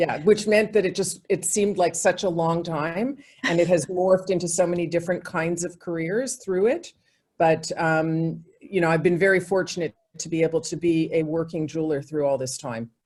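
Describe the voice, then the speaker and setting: Speaking at a moderate pace, a woman has a plain, everyday voice with a fairly low pitch and ordinary pitch variation. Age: 60s. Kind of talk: interview.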